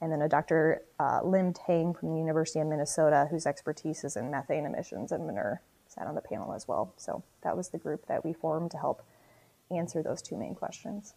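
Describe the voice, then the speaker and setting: A woman speaks in an Upper Midwest accent, her pitch very deep and low. Her tone is dark and mellow, with vocal fry. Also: ordinary pitch variation. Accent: Upper Midwest American. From South Dakota. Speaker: marketing and sustainability manager. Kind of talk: podcast interview.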